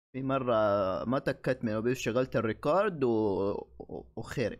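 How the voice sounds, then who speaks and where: Over a quiet background, a man talks at a moderate pace with lively intonation. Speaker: anime reactor. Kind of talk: casual reaction commentary. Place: home room.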